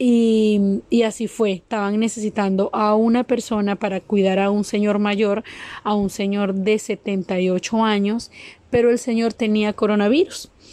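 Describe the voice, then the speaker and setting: With a Venezuelan accent, a woman speaks fairly slowly in a flat monotone, her fairly high voice dark and mellow and her loudness very even. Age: 30s. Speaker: migrant caregiver. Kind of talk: testimony.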